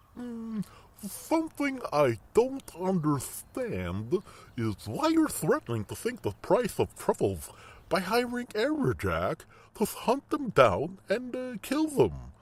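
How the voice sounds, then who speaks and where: A man puts on a character voice pitched high. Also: fairly slow pace. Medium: audio drama. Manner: hesitant, puzzled.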